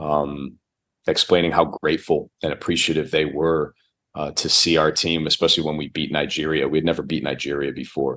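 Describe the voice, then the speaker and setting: Fairly quick and monotone, a man with a Chicago accent talks at a very deep, low pitch with vocal fry and flat intonation. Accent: American, Chicago. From US Midwest, Chicago. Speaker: basketball coach. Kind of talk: podcast interview.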